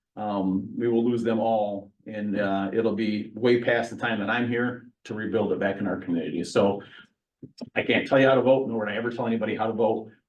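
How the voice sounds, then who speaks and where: A man with an American accent, fairly low in pitch and fairly even in intonation, at a fairly quick pace, with audible room echo. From central Michigan. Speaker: county sheriff. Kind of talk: public meeting update. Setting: council meeting at village hall. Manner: fast.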